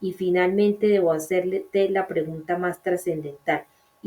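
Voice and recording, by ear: Natural-voiced reading aloud.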